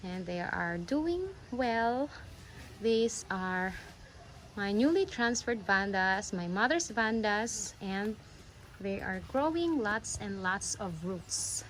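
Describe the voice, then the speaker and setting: In a Visayan Filipino accent, a woman speaks very slowly with lively intonation. Her pauses are long and frequent. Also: medium pitch for a woman. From Philippines, Bisaya-speaking region. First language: Bisaya (Cebuano). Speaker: orchid-growing YouTuber. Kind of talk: casual vlog tutorial. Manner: halting, self-correcting.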